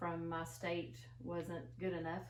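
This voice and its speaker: The recording carries noticeable background noise. Audible room echo is also present. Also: woman. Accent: Appalachian. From rural northeastern Kentucky, Appalachia. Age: 50s. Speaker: interviewee, former home health worker. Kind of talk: oral history interview. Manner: hesitant, many fillers.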